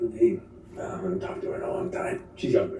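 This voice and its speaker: In a put-on character voice, a man speaks at a very fast pace with a high, raspy pitch, ordinary pitch variation and big swings in loudness, with strong echo and clear background noise. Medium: actual play. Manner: folksy, halting, fond of repeating himself.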